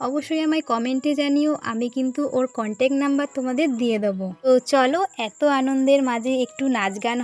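High-pitched speech from a woman, its pitch varying in an ordinary way. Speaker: vlogger. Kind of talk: casual vlog narration. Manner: animated.

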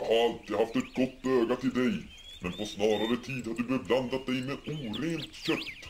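A man's put-on character voice at a medium pitch, with clear background noise. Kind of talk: mock-biblical preaching. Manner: solemn, reproachful.

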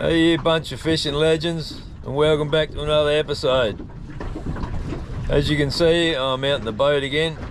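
This man talks at a fairly slow pace over noticeable background noise, the sound dry with no echo. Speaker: fishing vlogger. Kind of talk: casual vlog chat. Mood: relaxed, mildly grumbling. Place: boat. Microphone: phone near.

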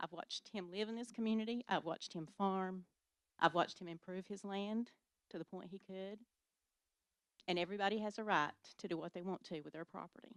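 A woman speaks at a fairly quick pace with long, frequent pauses and fairly even intonation, in an East Tennessee accent. The sound is dry and close with no echo. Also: medium pitch for a woman. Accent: Southern US (East Tennessee). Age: 60s. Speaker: local resident. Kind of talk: public comment at county meeting. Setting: county commission meeting.

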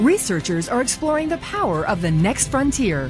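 Fairly high-pitched female voice with very wide pitch swings at a moderate pace, with music in the background. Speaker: voice actor. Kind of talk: TV documentary narration.

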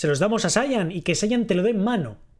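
Against a quiet background, a man with a high pitch and ordinary pitch variation speaks at a moderate pace. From Spain. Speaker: streamer. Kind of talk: livestream reaction chat. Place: home room.

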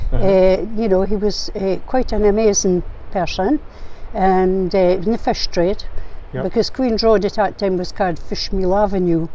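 With a northeastern Scottish accent, a woman speaks at a moderate pace. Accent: Scottish, north-east. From Aberdeenshire, Scotland. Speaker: arts and crafts maker. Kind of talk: interview answer. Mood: reflective, calm storytelling. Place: waterside.

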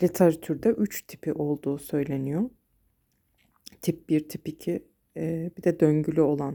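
The voice has a dark, mellow tone and ordinary pitch variation. It moves at a fairly slow pace with long, frequent pauses. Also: woman. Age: 40s. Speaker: vlogger with bipolar disorder. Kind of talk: personal vlog monologue. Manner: hesitant, with fillers.

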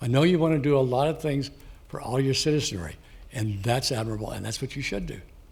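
Audible room echo surrounds a man with an American accent and a medium pitch. His voice is somewhat breathy, with ordinary pitch variation. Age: 80s+. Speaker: public commenter, Marine veteran. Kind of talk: public comment at council meeting.

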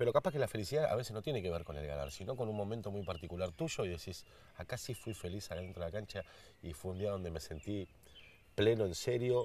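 Over dry sound with no echo, a man talks at a fairly quick pace in a fairly low pitch with lively intonation. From Argentina. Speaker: show host. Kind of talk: casual chat. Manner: animated. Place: garden.

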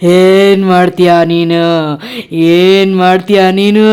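A woman puts on a character voice at a medium pitch, speaking at a very slow pace. Her intonation stays monotone and flat. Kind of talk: bedtime story. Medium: read story. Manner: theatrical, exaggerated.

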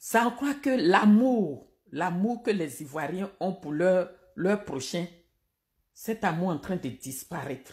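Very slow, somewhat breathy speech from a woman with very wide pitch swings, set against a quiet background. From Côte d'Ivoire. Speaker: political commentator. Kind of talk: live-stream political commentary. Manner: animated. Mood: indignant, critical. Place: home room. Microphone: phone near.

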